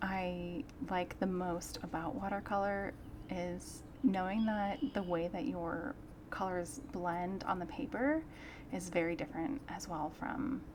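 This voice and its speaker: A soft-spoken woman talks at a very slow pace with lively intonation. Her voice is somewhat breathy and medium in pitch. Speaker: artist. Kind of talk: casual chat. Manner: relaxed.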